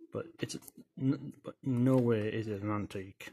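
Light background noise sits under a man's dark, mellow tone. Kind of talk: casual show-and-tell demonstration. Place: home room.

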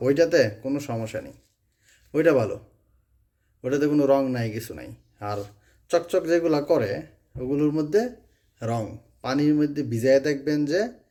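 A man's fairly high, dark, mellow voice with ordinary pitch variation and big swings in loudness. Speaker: vlogger. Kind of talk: casual talk to camera, consumer warning.

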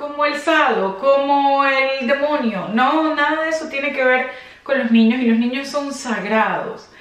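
A woman with a high pitch speaks at a fairly slow pace, and the room echo is audible. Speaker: fashion vlogger. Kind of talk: casual vlog commentary. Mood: serious, indignant. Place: home room.

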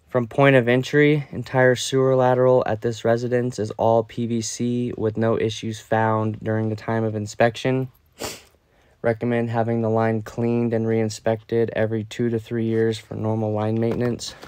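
Moderate pace, dry sound with no echo, and a quiet background. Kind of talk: inspection report narration. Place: home room.

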